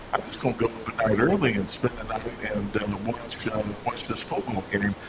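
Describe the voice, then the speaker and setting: A man's fairly quick speech with fairly even intonation, over noticeable background noise. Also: medium pitch for a man. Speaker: sports talk radio host. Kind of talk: sports talk radio conversation. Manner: conversational, reminiscing.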